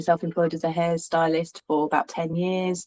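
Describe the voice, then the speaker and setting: A woman's flat, monotone voice with a slight Cockney accent, dry and close with no echo, on a very clean recording over a silent background. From suburbs of London. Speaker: hairstylist and rental business owner. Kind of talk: interview. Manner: halting, many fillers.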